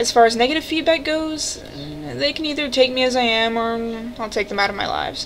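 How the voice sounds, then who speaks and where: Over noticeable background noise, a woman speaks at a fairly high pitch and a moderate pace, with ordinary pitch variation. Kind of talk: casual talk to camera. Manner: hesitant, stuttering.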